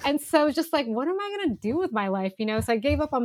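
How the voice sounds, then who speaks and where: A woman with a West Coast American accent, lively intonation and a very fast pace. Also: dry, close sound with no echo. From Northern California. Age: 30s. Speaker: outdoor and cycling photographer. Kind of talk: casual interview conversation. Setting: video call. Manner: casual, many fillers like um and like.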